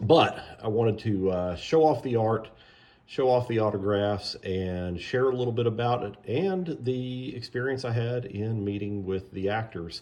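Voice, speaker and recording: Male speech in a dark, mellow tone, its pitch variation ordinary. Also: medium pitch for a man, moderate pace. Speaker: artist selling signed prints. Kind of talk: casual product video. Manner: hesitant, many fillers.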